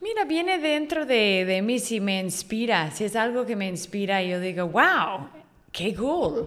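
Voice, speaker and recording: Speaking at a fairly slow pace, a woman uses a medium pitch with very wide pitch swings. The recording carries noticeable background noise and audible room echo. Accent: English. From Northern California, US. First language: English (speaking Spanish). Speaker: online magazine writer. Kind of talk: casual interview.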